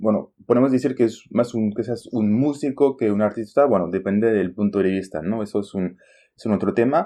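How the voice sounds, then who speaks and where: A man with a French accent and a dark, mellow tone, ordinary pitch variation and a quiet background. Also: fairly low pitch for a man, moderate pace. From France, Champagne region. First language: French (speaking Spanish). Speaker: Spanish teacher, podcast host. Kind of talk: casual language-learning conversation.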